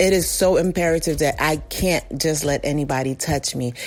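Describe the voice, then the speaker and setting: Music plays behind a woman who speaks at a moderate pace with a very deep, low pitch. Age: 40s. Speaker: listener contributor. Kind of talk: recorded testimony.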